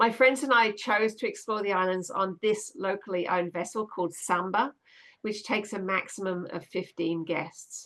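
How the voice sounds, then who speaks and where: A woman talks at a moderate pace, medium in pitch with ordinary pitch variation. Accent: Australian. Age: 60s. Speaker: children's author and science storyteller. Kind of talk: livestream talk. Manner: halting, frequent fillers and restarts.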